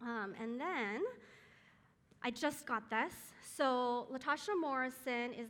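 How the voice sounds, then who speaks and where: Audible room echo surrounds a woman speaking at a fairly slow pace with a high pitch and an American accent. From Taiwan, moved to US at five. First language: Chinese. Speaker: guest speaker at moms' group. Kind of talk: church talk. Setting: live audience with mic. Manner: many filler words.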